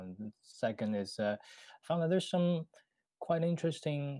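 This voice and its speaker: The tone is dark and mellow, with a Chinese accent at a moderate pace. The recording is very clean, with a silent background. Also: man. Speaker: bot developer. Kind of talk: casual podcast interview. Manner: halting, many fillers.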